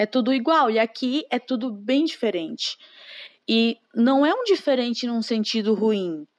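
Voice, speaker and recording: Recorded with a dry, close sound and no echo, a woman speaks at a fairly slow pace in a fairly high voice with lively intonation. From Brazil, Maranhão (Imperatriz). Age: 20s. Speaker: secretary. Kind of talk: interview. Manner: hesitant, many fillers.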